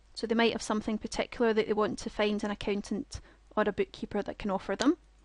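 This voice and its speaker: A woman's very fast speech in a Scottish accent, fairly high in pitch, dry and close with no echo, with a quiet background. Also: fairly even intonation. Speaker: software product trainer. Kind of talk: webinar presentation. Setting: online webinar with screen share.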